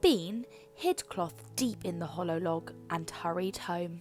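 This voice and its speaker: A woman at a very slow pace with music in the background. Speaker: children's book reader. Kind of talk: read-aloud bedtime story.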